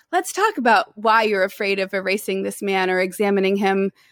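In an ordinary speaking voice, a woman with an American accent speaks at a medium pitch with fairly even intonation, recorded very cleanly against a silent background with a dry, close sound and no echo. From US South, Tennessee (Nashville). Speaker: poet and writer in residence. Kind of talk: interview.

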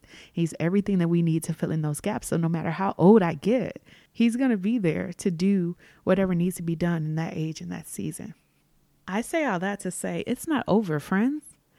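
A warm, dark, mellow tone at a fairly quick pace, in a very clean recording with a silent background and a dry, close sound with no echo. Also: woman, ordinary pitch variation. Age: 30s. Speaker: podcast host. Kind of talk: solo reflective monologue. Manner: casual, conversational, warm.

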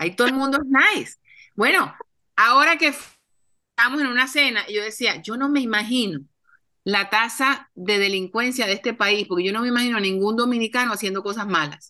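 A woman's normal speaking voice, fairly high in pitch with ordinary pitch variation, at a fairly quick pace. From Colombia. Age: 50s. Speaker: TV producer and author. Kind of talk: interview.

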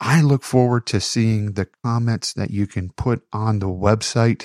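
A man's dark, mellow tone at a medium pitch with ordinary pitch variation. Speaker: podcast host and poet. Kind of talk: poetry reading; solo podcast monologue.

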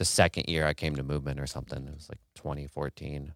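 Speaking with an American accent, a man uses a very deep, low pitch with vocal fry, fairly even intonation and a moderate pace. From US Midwest, Kansas City. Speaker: techno producer and live act. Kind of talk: casual chat. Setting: home studio, in person.

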